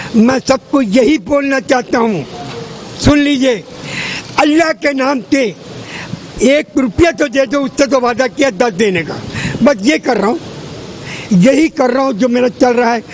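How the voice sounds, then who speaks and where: With noticeable background noise behind him, a man speaks in an extremely high pitch with ordinary pitch variation and long, frequent pauses. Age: 90s. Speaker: faith healer. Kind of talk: interview.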